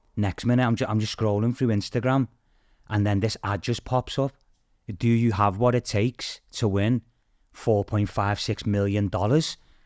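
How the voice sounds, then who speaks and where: In a very clean recording with a silent background and a dry, close sound with no echo, a man with a Liverpool accent speaks at a moderate pace in a fairly low pitch, with fairly even intonation and very even loudness. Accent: Scouse. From Liverpool, England (Toxteth). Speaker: TV game show contestant. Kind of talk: casual chat.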